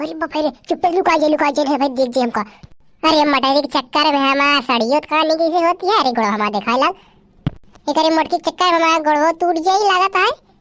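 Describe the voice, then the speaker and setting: Using a squeaky, cartoonish character voice at a high pitch, a woman speaks at a very fast pace with very even loudness. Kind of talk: comic cartoon village dialogue. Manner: excitable, exclamatory, talking to herself.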